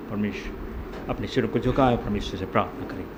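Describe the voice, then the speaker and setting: A man speaks at medium pitch in a monotone, flat intonation. The recording has audible room echo and noticeable background noise. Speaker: lay preacher. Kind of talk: sermon. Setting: church. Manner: soft-spoken.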